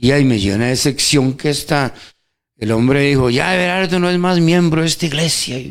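A man talks at a moderate pace in an ordinary speaking voice. It sits fairly high, with very even loudness and ordinary pitch variation. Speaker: church member co-host. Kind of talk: radio Bible teaching chat. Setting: radio studio.

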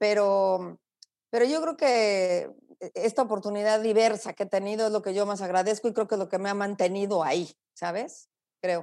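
On a very clean recording with a silent background, a woman with a dark, mellow tone speaks at a medium pitch and moderate pace, using ordinary pitch variation. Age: 50s. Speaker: journalist and broadcaster. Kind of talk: interview.

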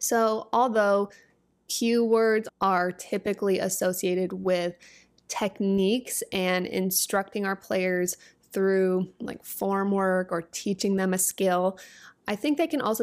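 A soft-spoken woman at a medium pitch, very slow in pace, with fairly even intonation, on a very clean recording with a silent background. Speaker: volleyball coach and podcast host. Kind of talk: solo podcast tutorial. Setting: video podcast recording.

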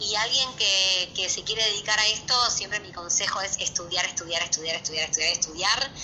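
Speaking fairly quickly with a Rioplatense accent, a woman with a medium pitch and ordinary pitch variation barely pauses, while noticeable background noise sits behind her. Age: 30s. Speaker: dancer and dance teacher. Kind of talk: interview.

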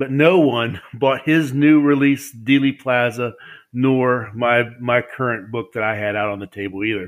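Here a man speaks with an Appalachian accent at a fairly slow pace. His pitch sits in the medium range with ordinary variation. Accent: Appalachian American. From US, West Virginia. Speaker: publisher and author. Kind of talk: interview.

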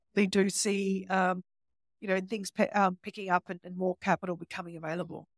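With an Australian accent, a woman of medium pitch talks at a fairly quick pace in a monotone, flat intonation. Her loudness swings widely, and the sound is dry and close with no echo. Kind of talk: casual chat.

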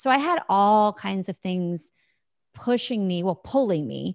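Recorded very cleanly with a dry, close sound, no echo and a silent background, a woman speaks at a medium pitch with lively intonation. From US Midwest. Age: 40s. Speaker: former network marketing leader. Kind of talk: interview.

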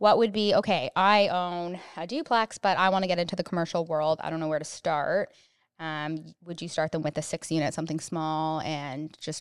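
With a plain, everyday voice, a woman with a Canadian accent speaks at a moderate pace with fairly low pitch and ordinary pitch variation, in a dry, close sound with no echo against a quiet background. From Canada. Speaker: podcast co-host, real estate agent. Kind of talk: casual interview.

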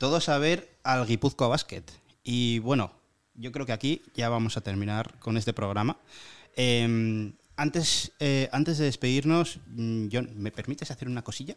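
Medium pitch and ordinary pitch variation from a man at a fairly slow pace, on a very clean recording with a silent background. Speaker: student radio podcast host. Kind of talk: casual chat.

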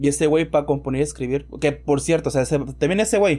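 A man with a fairly high pitch and a dark, mellow tone speaks at a very fast pace with ordinary pitch variation. The recording is very clean, with a silent background. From Mexico. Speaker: podcast host. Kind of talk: casual chat.

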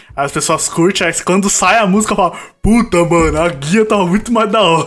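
The pace is moderate. Pitch variation is ordinary. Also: man. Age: 20s. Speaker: podcast co-host. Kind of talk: casual interview chat.

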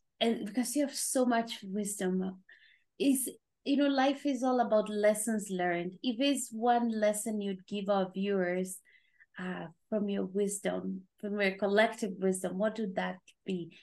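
Speaking at a fairly slow pace, a woman has an ordinary speaking voice. Her pitch is medium, with ordinary pitch variation. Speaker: podcast host. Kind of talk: casual chat.

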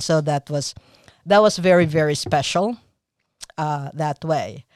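This woman has a very deep, low pitch and ordinary pitch variation at a moderate pace. The sound is dry and close, with no echo. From Philippines. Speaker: marathon runner. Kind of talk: interview. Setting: studio. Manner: halting.

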